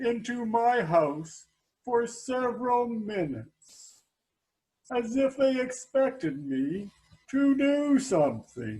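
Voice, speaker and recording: A man's put-on character voice, high in pitch, deadpan in tone, at a very slow pace. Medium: stage play. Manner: deadpan, slow.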